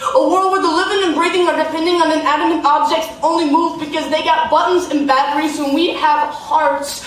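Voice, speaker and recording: Over noticeable background noise, a woman speaks at an extremely high pitch with hardly any pauses. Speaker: slam poet. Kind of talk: live slam poetry performance. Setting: live on stage in a theater.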